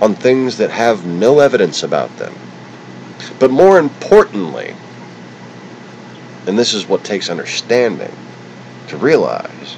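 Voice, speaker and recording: A fairly slow delivery with long, frequent pauses, set against noticeable background noise. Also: man. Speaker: political livestreamer. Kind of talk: angry political rant. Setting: livestream on camera. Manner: stuttering.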